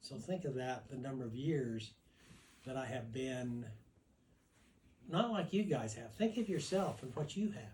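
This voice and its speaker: Fairly slow, somewhat breathy speech with lively intonation, long and frequent pauses, and audible room echo. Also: man, medium pitch for a man. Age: 80s+. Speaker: family elder at birthday gathering. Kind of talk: personal storytelling to family. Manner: halting.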